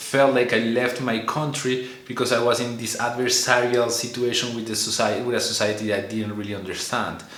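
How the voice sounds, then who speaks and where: This man speaks at a medium pitch with a Spanish accent, with noticeable background noise and audible room echo. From Colombia. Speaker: vlogger. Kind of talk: casual monologue. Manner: halting, many fillers and repetitions; animated, learned expressive delivery.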